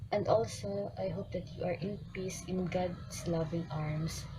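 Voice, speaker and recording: Noticeable background noise and audible room echo accompany a woman speaking at a fairly slow pace. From Philippines. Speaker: fan. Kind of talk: recorded video tribute message. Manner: formal, read-like.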